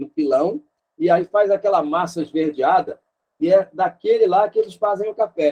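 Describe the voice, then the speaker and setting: This man's voice sits high in pitch, with a dark, mellow tone, lively intonation, and a dry, close sound with no echo. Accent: Rio de Janeiro. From Rio de Janeiro, Brazil. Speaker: missionary teacher. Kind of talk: online lecture.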